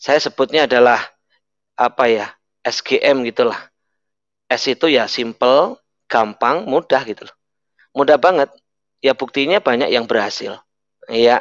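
A man speaks fairly slowly, with long, frequent pauses, big swings in loudness and ordinary pitch variation. The sound is dry with no echo, over a quiet background. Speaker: network marketing leader; guest. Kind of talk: motivational talk and prayer. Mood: upbeat, smiling, persuasive. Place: home room. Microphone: headset.

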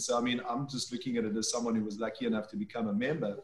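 There is audible room echo around the speaker, a man. His intonation is fairly even. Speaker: winemaker. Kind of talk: panel discussion. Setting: video call. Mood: warm, enthusiastic. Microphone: video call.

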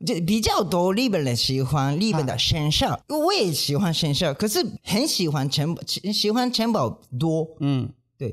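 Against a quiet background, a man with a Japanese accent speaks at a fairly slow pace with a high pitch and very wide pitch swings. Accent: non-native Mandarin, Japanese. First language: Japanese (speaking Chinese). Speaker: manzai comedian, podcast co-host. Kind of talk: casual chat. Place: studio. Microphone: studio mic.

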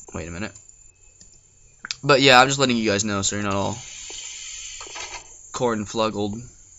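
Speech comes at a moderate pace with long, frequent pauses. Noticeable background noise sits underneath. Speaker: gaming youtuber. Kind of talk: let's play commentary. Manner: animated.

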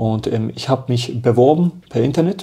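A man speaks with a dark, mellow tone and vocal fry. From Germany. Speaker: professional footballer; interview guest. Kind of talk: casual interview chat. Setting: hotel. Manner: animated. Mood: lively storytelling, animated. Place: home room.

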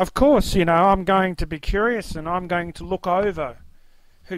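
A high-pitched man at a moderate pace, ordinary pitch variation, dry sound with no echo. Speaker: testimony speaker. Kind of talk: fervent testimony mixed with reading commentary aloud. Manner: earnest, fervent, devout; somewhat halting, with fillers. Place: home room. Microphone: webcam.

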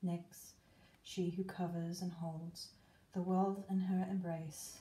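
Somewhat breathy, a woman speaks at a very slow pace in a medium pitch, her dark, mellow tone held in a monotone, flat intonation. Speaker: witch. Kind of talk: spoken word ritual.

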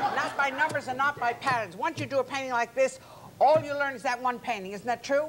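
The speaker sounds upbeat and enthusiastic, talking at a very fast pace with ordinary pitch variation. Crowd noise fills the background. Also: woman, high pitch for a woman. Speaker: art teacher. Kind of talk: infomercial talk show guest demo. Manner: upbeat, enthusiastic. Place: studio.

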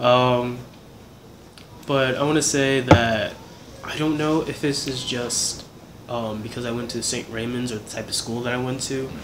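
A man's moderately paced, monotone, flat delivery at medium pitch, with long, frequent pauses, big swings in loudness and noticeable background noise. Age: 20s. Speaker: actor and independent filmmaker. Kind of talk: casual interview.

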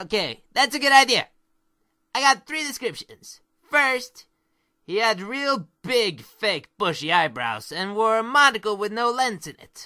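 Fairly high in pitch, the speaker uses a put-on character voice. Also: moderate pace. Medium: audio drama. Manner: upbeat, playful.

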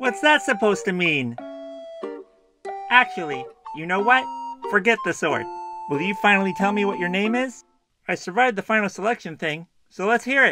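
At a moderate pace and middle pitch, a put-on character voice plays over faint background music and sound effects. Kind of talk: comedy parody dub.

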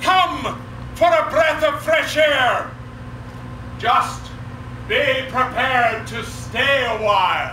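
A man speaks at a very slow pace. There is audible room echo and light background noise. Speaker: town crier. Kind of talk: town crier proclamation at a championship competition. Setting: outdoors at a festival. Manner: loud, formal, ceremonial delivery with pauses. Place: stage. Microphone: camera far.

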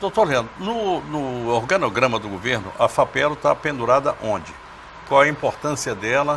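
With light background noise, a man talks in a normal speaking voice at medium pitch, using lively intonation and a moderate pace. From Brazil. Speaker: TV talk show host. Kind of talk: TV interview. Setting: studio. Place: studio. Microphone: lapel.

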